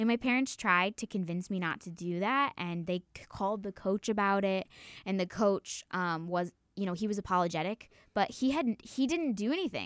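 An ordinary speaking voice moves at a moderate pace with ordinary pitch variation, recorded with a dry, close sound with no echo and a very clean, silent background. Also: woman, medium pitch for a woman. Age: 20s. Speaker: college student and resident assistant. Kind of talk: casual interview chat.

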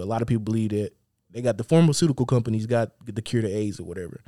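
A man's medium-pitched, dark, mellow voice at a very fast pace, dry and close with no echo. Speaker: podcast co-host. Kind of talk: casual chat. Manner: rambling, repetitive delivery.

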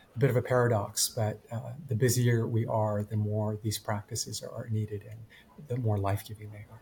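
In a Canadian accent, the somewhat breathy voice keeps a monotone, flat intonation while showing big swings in loudness. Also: man, fairly low pitch for a man, moderate pace. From Japan, raised in Canada from age eight. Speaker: pastor and author. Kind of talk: interview storytelling.

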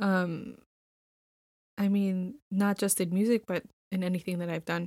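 A woman with an American accent has a dark, mellow tone on a very clean recording with a silent background. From Milwaukee, Wisconsin (south side). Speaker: arts organization administrator. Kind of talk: personal story in podcast interview. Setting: podcast studio.

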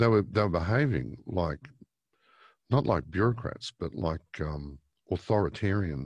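At a moderate pace, a man with an Australian accent speaks with lively intonation and vocal fry over a quiet background. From Australia, Victoria. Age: 50s. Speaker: newspaper editor. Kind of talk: interview.

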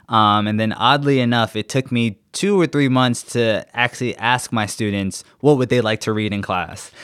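A plain, everyday voice keeps a moderate pace and shows ordinary pitch variation. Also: man. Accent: American. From New York City, Queens. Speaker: study abroad program manager. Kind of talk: casual interview storytelling.

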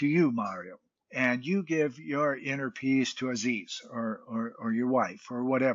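This man has a plain, everyday voice with an American accent and a medium pitch. He speaks at a fairly slow pace with lively intonation. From United States. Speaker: mentor and UN peace ambassador, Navy veteran. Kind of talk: interview.

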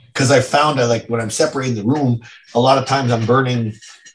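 Speaking in a Canadian accent, a man has a medium pitch and a somewhat breathy voice. His intonation stays fairly even. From Ottawa, Canada. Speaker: business owner. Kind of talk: interview.

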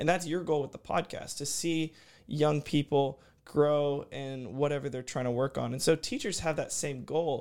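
In a normal speaking voice, a man with an American accent and fairly high pitch talks at a moderate pace with fairly even intonation, on a very clean recording with a silent background. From Houston, Texas. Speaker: college student athlete and podcast host. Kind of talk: interview conversation. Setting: studio.

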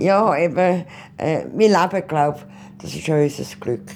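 Vocal fry colors a woman's speech at a fairly slow pace. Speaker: retiree. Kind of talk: interview.

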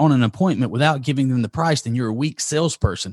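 An energetic man with a Southern US accent, ordinary pitch variation, and a dry, close sound with no echo. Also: quiet background. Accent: southern drawl. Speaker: marketing agency CEO and author. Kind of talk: interview. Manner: rambling pace.

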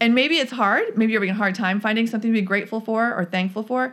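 A woman's normal speaking voice, fairly high in pitch with ordinary pitch variation, on a very clean recording with a silent background. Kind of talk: guided meditation.

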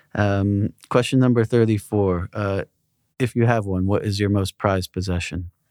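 A plain, everyday voice comes at a moderate pace with fairly even intonation. The recording is very clean, with a silent background. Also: man, fairly low pitch for a man. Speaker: podcast interviewer. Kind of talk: interview Q&A, casual conversation.

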